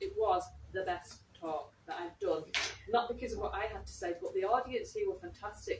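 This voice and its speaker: A woman speaks at a fairly quick pace with a slight Manchester accent. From Manchester, northern England. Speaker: writer in residence and event interviewer. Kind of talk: live public talk and interview. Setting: library event with live audience, live-streamed.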